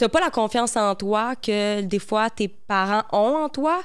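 In a Quebec accent, a woman speaks with lively intonation against a quiet background. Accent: Québécois French. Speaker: model and content creator. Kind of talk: casual chat. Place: studio. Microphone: handheld.

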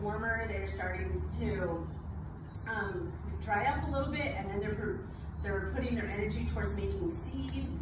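A woman at a moderate pace, with audible room echo and loud background noise. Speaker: botanist lecturer. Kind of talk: lecture. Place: garden. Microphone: camera far.

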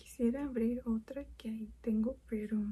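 A woman speaks in a soft-spoken way. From Mexico. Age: 20s. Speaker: programmer. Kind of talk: ASMR soft-spoken makeup chat.

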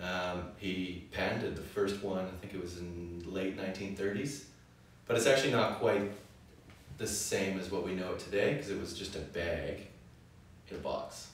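A man speaks at a moderate pace with fairly even intonation. Strong room echo and light background noise fill the recording. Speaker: wine show co-host. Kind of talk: casual educational conversation. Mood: relaxed, jokey. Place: cafe.

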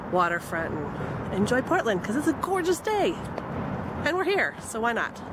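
A woman speaks at a fairly quick pace. The sound is dry with no echo, though there is noticeable background noise. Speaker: vlogger. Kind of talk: casual vlog chat. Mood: cheerful, slightly disappointed. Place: waterside. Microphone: phone near.

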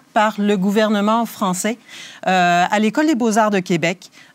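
A woman's fairly high voice at a fairly slow pace, in a very clean recording with a silent background. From Quebec (Rimouski). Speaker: museum conservator. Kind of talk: guided tour interview. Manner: hesitant, many fillers.

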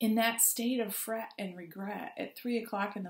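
The speaker talks at a fairly slow pace in a somewhat breathy voice, with audible room echo against a quiet background. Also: woman. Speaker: clergy preacher. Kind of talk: sermon. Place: home room. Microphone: webcam.

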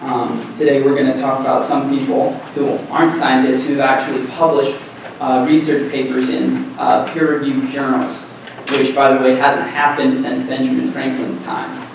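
Strong room echo and noticeable background noise around a man talking at a moderate pace. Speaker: presenter. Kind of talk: conference presentation. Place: classroom.

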